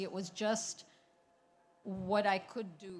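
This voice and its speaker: Her voice has a somewhat breathy quality. The speaker is a woman with a medium pitch. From Pakistan. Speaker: novelist. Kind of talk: panel discussion. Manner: halting.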